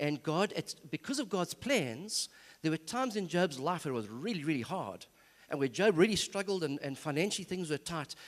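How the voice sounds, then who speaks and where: On a very clean recording with a silent background, a man speaks in a high pitch with lively intonation. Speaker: seminar speaker. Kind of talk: church seminar talk. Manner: fast.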